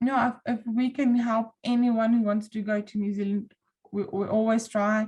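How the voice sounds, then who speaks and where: A woman speaks with an Afrikaans accent, somewhat breathy and fairly high in pitch. Her pace is moderate and her intonation fairly even. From South Africa. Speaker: volunteer online group moderator. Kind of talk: interview.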